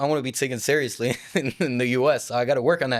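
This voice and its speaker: Rattling along at a very fast pace, a man with an American accent speaks at a medium pitch with fairly even intonation. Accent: worked-on American accent, French origin. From southern France. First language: French. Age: young. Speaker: hip-hop artist. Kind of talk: interview. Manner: casual.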